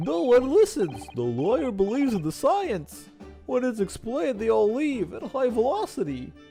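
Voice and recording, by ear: A put-on character voice with fairly high pitch moves at a moderate pace. Clear music plays in the background.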